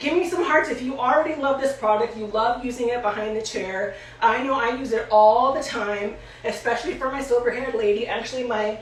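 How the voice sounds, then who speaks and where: Fairly quick and fairly high, a woman's voice with ordinary pitch variation comes through audible room echo and noticeable background noise. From Puerto Rican heritage. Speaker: hair stylist educator. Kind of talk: tutorial. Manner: fast.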